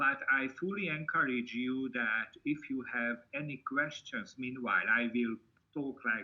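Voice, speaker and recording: A man speaks with a Hungarian accent. His pace is fairly slow. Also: medium pitch for a man, ordinary pitch variation. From Hungary. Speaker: university lecturer. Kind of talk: online seminar presentation.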